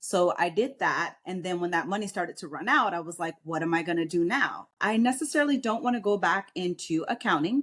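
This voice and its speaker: In an American accent, the speaker moves at a fairly quick pace with lively intonation and hardly any pauses. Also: woman, medium pitch for a woman. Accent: New York accent, trained down. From New York. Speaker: military veteran and realtor. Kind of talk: podcast interview. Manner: straightforward, bold.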